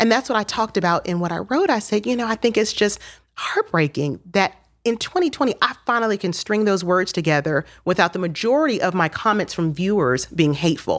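With an American accent and a plain, everyday voice, a woman at medium pitch talks at a fairly quick pace with lively intonation. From Miami, Florida. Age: 40s. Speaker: TV news journalist. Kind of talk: casual interview chat. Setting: studio.

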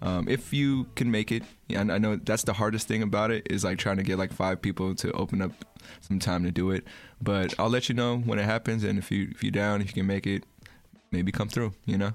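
A man with an American accent talks in a normal speaking voice, fairly low in pitch, at a fairly quick pace. His intonation is fairly even and his loudness very even. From San Francisco, California. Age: 30s. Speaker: podcast host. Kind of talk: casual chat.

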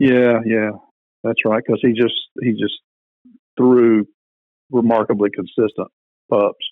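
With very even loudness and long, frequent pauses, a man speaks at a medium pitch in a monotone, flat intonation. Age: 60s. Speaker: retired minister. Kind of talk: casual interview.

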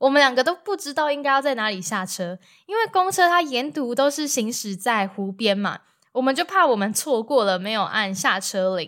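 A woman speaks at a moderate pace with a Taiwanese accent, her high voice swinging very widely in pitch on a very clean recording with a silent background. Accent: Taiwanese Mandarin. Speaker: travel podcaster. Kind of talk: solo travel storytelling. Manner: casual, chatty with many filler particles.

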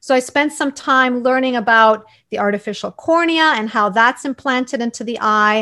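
With a Canadian accent, a woman speaks at a moderate pace in a high, bright, sharp voice, barely pausing, with ordinary pitch variation over a quiet background. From Canada, Toronto. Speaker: eye doctor. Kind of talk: interview.

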